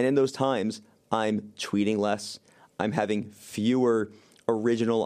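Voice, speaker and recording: This man has an unremarkable speaking voice, fairly low in pitch, with fairly even intonation at a moderate pace. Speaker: media company CEO and co-founder. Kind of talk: casual interview chat.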